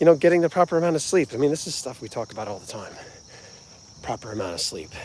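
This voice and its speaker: Delivered in an American accent at a very fast pace, the voice shows very wide pitch swings, big swings in loudness and vocal fry. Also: man, fairly high pitch for a man. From New Jersey, US. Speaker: music channel host, vlogger. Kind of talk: casual livestream chat. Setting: outdoors, walking.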